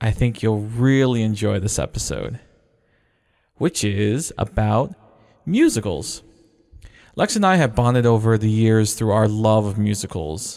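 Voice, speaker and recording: In a very clean recording with a silent background, a man speaks at a fairly slow pace with long, frequent pauses, in a fairly low pitch with ordinary pitch variation and an animated tone. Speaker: podcast host. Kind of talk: casual chat.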